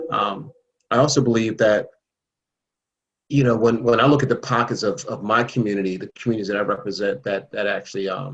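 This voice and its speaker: A man talks at a fairly quick pace with medium pitch and ordinary pitch variation. His pauses are long and frequent. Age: 60s. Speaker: state legislator. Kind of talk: panel discussion.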